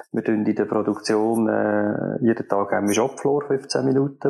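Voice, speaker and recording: Against noticeable background noise, a man speaks at a moderate pace and medium pitch with fairly even intonation. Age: 40s. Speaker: production manager. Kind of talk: interview.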